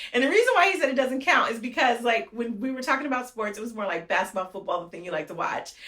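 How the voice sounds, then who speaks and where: A woman with an American accent talks very fast in a high, animated voice with very wide pitch swings and big swings in loudness. Noticeable background noise runs underneath. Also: hardly any pauses. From Fresno, California. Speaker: mayor. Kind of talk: interview. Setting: office.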